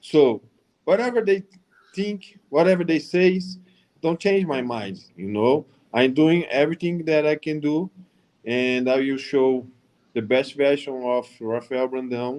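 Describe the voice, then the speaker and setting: Long, frequent pauses break up a man's fairly high, lively speech in a Brazilian accent. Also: fairly slow pace. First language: Portuguese. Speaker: professional bodybuilder. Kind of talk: panel discussion.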